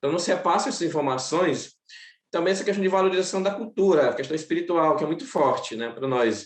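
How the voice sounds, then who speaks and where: A very fast man's voice with a high pitch and lively intonation. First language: Macuxi (speaking Portuguese). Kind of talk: seminar panel talk. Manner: halting.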